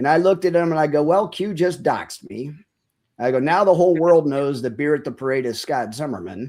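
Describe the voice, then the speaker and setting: This man has an ordinary speaking voice, fairly high in pitch, with lively intonation and a fairly quick pace. The recording is very clean, with a silent background. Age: 60s. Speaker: military veteran, podcaster. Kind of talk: casual interview chat.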